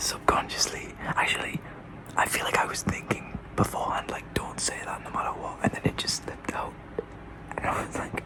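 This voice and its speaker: Whispered speech at a moderate pace comes with long, frequent pauses and noticeable background noise. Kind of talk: ASMR whisper talk to camera. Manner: soft-spoken, casual, hesitant.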